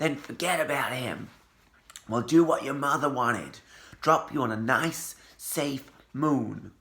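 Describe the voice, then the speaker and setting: A man puts on a gruff, raspy, growling character voice, pitched fairly high. He speaks fairly slowly, with long, frequent pauses. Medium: read story. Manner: gruff, growling.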